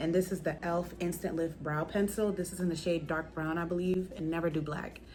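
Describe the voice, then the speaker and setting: A quiet, fairly low woman's voice, monotone and flat, at a very fast pace. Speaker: beauty vlogger. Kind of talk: makeup tutorial. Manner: lowered voice, quiet.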